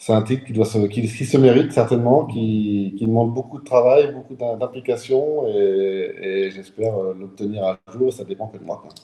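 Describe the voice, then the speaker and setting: A man speaks at a moderate pace with hardly any pauses. His pitch is medium, with ordinary pitch variation. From central France, south of Tours. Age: 40s. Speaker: clay shooting champion. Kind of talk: interview. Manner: hesitant, repeats words.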